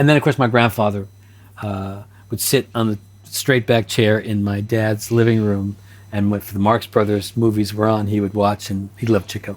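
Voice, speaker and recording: Here a man talks at a moderate pace in an American accent. His pitch is fairly low and his intonation is monotone and flat. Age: 70s. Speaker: TV director and actor. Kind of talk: interview.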